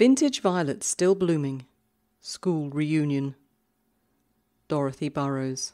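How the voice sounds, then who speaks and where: A woman speaks at a very slow pace in a calm, gentle tone, her very deep, low voice dark and mellow with ordinary pitch variation, pausing long and often on a very clean recording with a silent background. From Britain. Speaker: podcast host and poetry reader. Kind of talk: poetry reading haiku, read aloud in short pauses between poems. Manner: calm, measured, gentle delivery.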